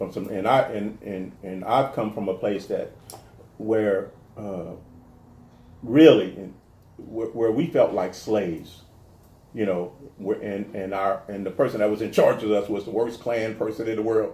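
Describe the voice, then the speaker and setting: A man with an American accent speaks at a fairly slow pace in a fairly low pitch, his dark, mellow tone somewhat breathy and his intonation fairly even, with long, frequent pauses and audible room echo. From New Orleans, US South. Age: 50s. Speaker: comedian and actor. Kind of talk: interview. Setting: garage with door open. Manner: halting, many repetitions.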